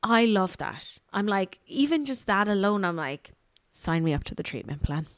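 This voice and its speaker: A woman's animated voice with an Irish accent at a moderate pace, on a very clean recording with a silent background. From Ireland. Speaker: podcast co-host, marketing agency. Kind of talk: casual chat.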